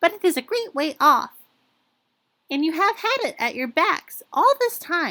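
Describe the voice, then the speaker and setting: A woman puts on a squeaky character voice at an extremely high pitch with very wide pitch swings. She keeps a moderate pace with long, frequent pauses. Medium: read story.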